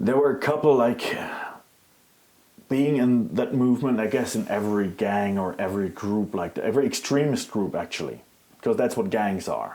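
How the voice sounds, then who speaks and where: With a slight non-native accent, a man speaks at a moderate pace in a medium pitch with lively intonation. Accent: slight foreign. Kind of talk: interview answer.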